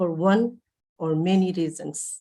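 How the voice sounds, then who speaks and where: Speaking at a very slow pace, a woman talks with a Manipur accent. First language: Manipuri. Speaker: poet. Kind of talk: poetry reading. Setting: online festival session.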